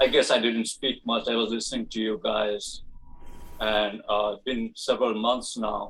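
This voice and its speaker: A man with a non-native accent speaks at a medium pitch and a moderate pace. His intonation is monotone and flat, while his loudness swings widely. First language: not English. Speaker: satsang participant. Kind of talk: casual question to group. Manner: halting.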